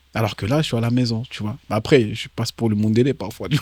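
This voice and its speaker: A man speaks in an ordinary speaking voice at a fairly quick pace and a medium pitch, with ordinary pitch variation. The recording is very clean, with a silent background. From DR Congo, moved to France at age 10. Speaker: comedian and actor. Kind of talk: interview. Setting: in Kinshasa. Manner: casual, slangy.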